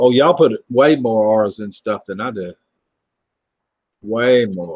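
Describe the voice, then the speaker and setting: Speaking at a fairly slow pace in a Southern US accent, a man with a medium pitch shows big swings in loudness and ordinary pitch variation. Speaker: livestream host. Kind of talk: casual chat. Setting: livestream video call.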